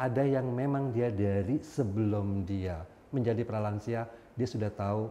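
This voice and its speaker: A man talks in a fairly low voice with ordinary pitch variation. Noticeable background noise runs underneath. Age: 50s. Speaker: HIV outreach worker living with HIV. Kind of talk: talk show interview.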